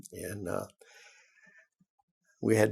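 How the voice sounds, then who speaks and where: The man speaks fairly slowly in a Southern US accent. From US South. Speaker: retired teacher and principal. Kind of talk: oral history interview. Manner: halting.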